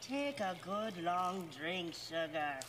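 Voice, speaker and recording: Putting on a character voice in an Irish accent, a man speaks at a high pitch over clear background noise. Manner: feminine, generic.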